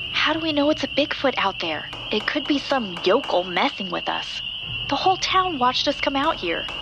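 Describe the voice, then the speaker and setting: Over noticeable background noise, a woman with a high pitch speaks with very wide pitch swings. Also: moderate pace. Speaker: podcast host and narrator. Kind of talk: scripted horror narration, audio drama. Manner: dramatic, suspenseful storytelling.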